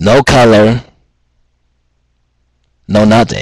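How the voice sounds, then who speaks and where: A man's fairly low-pitched voice at a fairly slow pace, in a dry, close sound with no echo. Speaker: student. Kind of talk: casual talk to camera.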